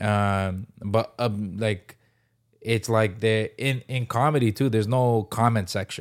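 An ordinary speaking voice moves at a fairly slow pace with fairly even intonation and very even loudness, captured in a very clean recording over a silent background. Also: man, medium pitch for a man. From Canada, Toronto (Scarborough). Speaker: stand-up comedian. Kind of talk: casual chat. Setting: studio.

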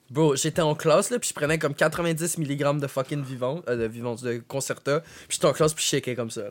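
With a plain, everyday voice, a man speaks at a moderate pace, pitched fairly high with ordinary pitch variation and big swings in loudness. The recording is very clean, with a silent background. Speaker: podcast co-host. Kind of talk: casual chat.

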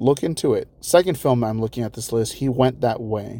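A man's medium-pitched voice with a dark, mellow tone, fairly quick in pace, with ordinary pitch variation. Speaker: solo podcast host, movie commentator. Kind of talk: casual solo podcast talk. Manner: casual, chatty with laughs.

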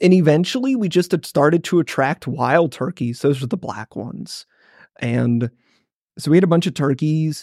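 Recorded very cleanly with a silent background and a dry, close sound with no echo, a man with an American accent speaks in a fairly high pitch with lively intonation. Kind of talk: casual chat.

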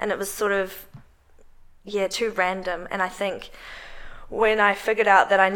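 A woman speaks with a New Zealand accent at a moderate pace. Her tone is bright and sharp, her intonation monotone and flat. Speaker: strength coach. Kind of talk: casual interview.

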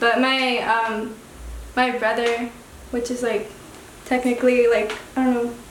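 A woman's high-pitched, monotone voice with long, frequent pauses and noticeable background noise. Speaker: artist. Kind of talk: casual radio interview. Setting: studio. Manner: soft-spoken, laid-back, hesitant.

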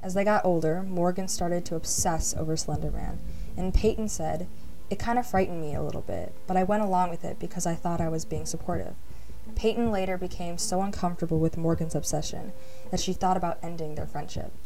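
Over noticeable background noise, a woman speaks at a very fast pace in a dramatic, serious tone with fairly even intonation. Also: fairly low pitch for a woman. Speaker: true crime podcast host. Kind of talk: true-crime narration, scripted-sounding storytelling. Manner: dramatic, measured storytelling pace, ominous and serious.

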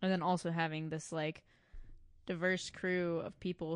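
A woman with an American accent talks at a moderate pace in a normal speaking voice with a fairly low pitch. The sound is dry and close with no echo, over a quiet background. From Michigan. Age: young. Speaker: farm employee. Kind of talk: casual interview. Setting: home studio.

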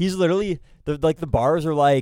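A normal speaking voice comes from a man pitched fairly high, with fairly even intonation. The sound is dry and close, with no echo. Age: 20s. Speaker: college radio host. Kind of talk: casual chat. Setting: studio.

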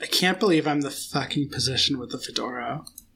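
A man's raspy, put-on character voice, fairly high in pitch, with ordinary pitch variation and a very fast pace. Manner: sarcastic, joking, jokey.

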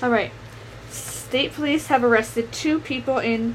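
Noticeable noise sits behind a woman's voice. Her pitch is fairly high, with ordinary variation. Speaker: podcast co-host. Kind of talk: casual chat.

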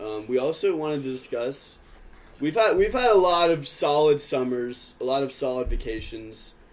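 With an American accent, a man speaks at a moderate pace and fairly high pitch with lively intonation. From Georgia, US. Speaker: podcast host, college student. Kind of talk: casual chat.

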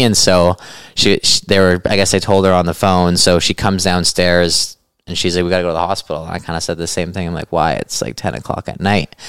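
A man with a very deep, low pitch, fairly even intonation and a very fast pace. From western Canada. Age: 20s. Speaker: ultra runner and cancer survivor. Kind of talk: casual chat. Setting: at his home.

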